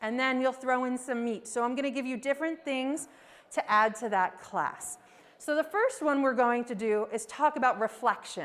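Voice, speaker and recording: A woman's high-pitched voice in an American accent with ordinary pitch variation. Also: moderate pace. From United States. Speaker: professor of education. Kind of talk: lecture. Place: classroom.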